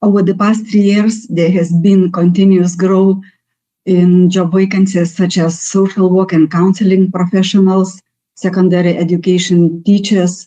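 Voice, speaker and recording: With a Lithuanian accent, a woman speaks at a moderate pace in a dark, mellow tone. Her intonation stays flat and monotone, and her loudness is very even. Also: medium pitch for a woman. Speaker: national labour market representative. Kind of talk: presentation. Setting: webinar. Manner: halting.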